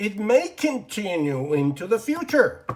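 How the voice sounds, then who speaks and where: At a fairly slow pace, a man with a Persian accent speaks at a high pitch that moves in very wide swings. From Iran. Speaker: English teacher. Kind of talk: lecture. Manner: halting, many fillers.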